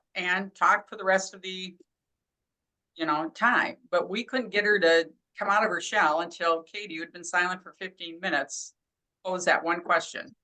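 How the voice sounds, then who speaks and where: A woman's bright, sharp voice with ordinary pitch variation. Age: 60s. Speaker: real estate agent. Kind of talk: video call panel talk. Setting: video call.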